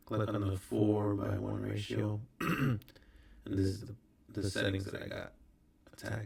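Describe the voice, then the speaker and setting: A soft-spoken, somewhat breathy man at a fairly slow pace, with a fairly low pitch and monotone, flat intonation. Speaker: recording artist. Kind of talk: tutorial. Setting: hotel room. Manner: casual.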